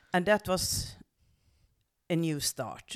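A woman's fairly low voice with a Norwegian accent, at a fairly slow pace, on a very clean recording with a silent background. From western Norway. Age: 70s. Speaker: medium and spiritual coach. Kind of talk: personal life story.

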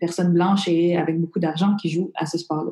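A woman's fairly low-pitched voice with ordinary pitch variation. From Montreal, Quebec. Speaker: comedian, former journalist. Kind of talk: casual interview.

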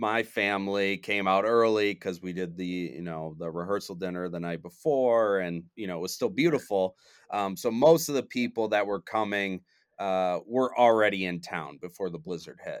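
This man has an American accent and a fairly low pitch. He keeps a moderate pace with ordinary pitch variation. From Michigan. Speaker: audio engineer. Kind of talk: casual chat. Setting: remote call. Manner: clear.

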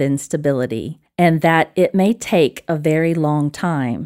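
A woman with an Alabama accent, fairly low pitch, a dark and mellow tone, and a fairly slow pace, in a dry, close recording with no echo and a silent background. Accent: Southern US (Alabama). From Alabama, US South. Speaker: disciple maker and spiritual director. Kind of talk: casual interview chat, with a poem read aloud.

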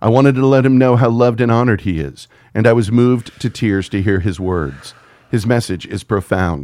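A man's medium-pitched voice with an American accent, lively intonation and an animated tone at a fairly quick pace, in a very clean recording with a silent background. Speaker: podcast host. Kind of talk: casual chat, profane banter. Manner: animated, jokey.

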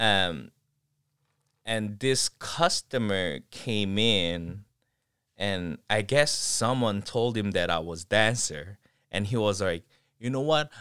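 A man with a Korean accent, very slow in pace, with long, frequent pauses, lively intonation and a bright, sharp tone, on a very clean recording with a silent background. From South Korea, Seoul. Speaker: professional dancer. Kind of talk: casual chat. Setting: attic, no studio.

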